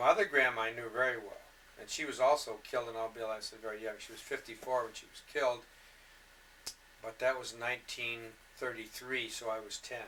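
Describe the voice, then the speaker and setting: Talking very fast with a Michigan accent, a man keeps a medium pitch and monotone, flat intonation while his loudness swings widely. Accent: US Midwest (Michigan). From Detroit, Michigan. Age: 60s. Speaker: interviewee recounting life story. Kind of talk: oral history interview. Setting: home recording. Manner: halting.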